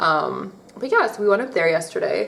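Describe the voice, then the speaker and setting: The speaker has an American accent and talks at a fairly quick pace. Noticeable background noise runs underneath. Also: woman. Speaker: beauty vlogger. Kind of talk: casual chat. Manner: casual, filler-heavy.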